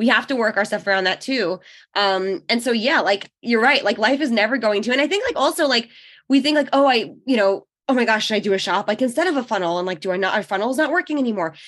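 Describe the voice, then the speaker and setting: Against a quiet background, a woman with a New York accent talks very fast at a fairly high pitch, her intonation lively. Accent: American (New York) English. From New York, then Israel from age 13. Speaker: online business owner and mother of five. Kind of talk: podcast interview. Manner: casual, halting with fillers.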